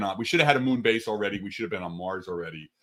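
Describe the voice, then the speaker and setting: Talking at a very fast pace, a man has a bright, sharp tone and an animated delivery. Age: 60s. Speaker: astrophysicist. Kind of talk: casual chat.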